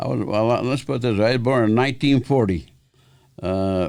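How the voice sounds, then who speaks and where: A man's dark, mellow tone with lively intonation. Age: 80s+. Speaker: karate master. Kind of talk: interview. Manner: halting.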